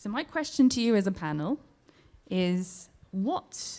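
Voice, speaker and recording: A woman speaks with a British accent and ordinary pitch variation. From Britain. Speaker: audience member asking question; entrepreneur. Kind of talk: audience question. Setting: live event with audience.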